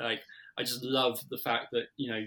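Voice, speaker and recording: Here a man speaks with a British accent at a medium pitch. His tone is bright and sharp, and his intonation stays monotone and flat. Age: 30s. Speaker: marketing agency director. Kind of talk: interview. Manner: casual with many fillers.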